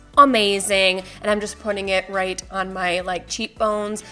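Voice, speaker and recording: A woman does the talking. Behind her, music is playing. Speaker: beauty vlogger. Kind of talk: makeup tutorial voiceover. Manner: casual, chatty.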